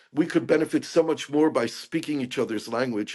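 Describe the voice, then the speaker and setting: An ordinary speaking voice moves at a fairly quick pace against a quiet background. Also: man. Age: 60s. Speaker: peace activist and author. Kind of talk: interview conversation.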